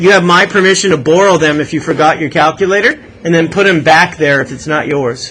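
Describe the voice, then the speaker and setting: Light background noise sits behind a man talking at a fairly quick pace, his fairly high pitch showing ordinary variation. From Canada. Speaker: math teacher. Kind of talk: classroom lecture. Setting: classroom. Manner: animated. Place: classroom.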